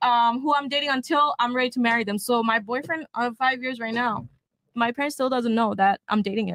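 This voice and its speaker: The voice is loud, moving at a fairly quick pace with ordinary pitch variation. The sound is dry and close, with no echo. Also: woman, high pitch for a woman. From Bangladesh. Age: 20s. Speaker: panel guest. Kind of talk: heated debate.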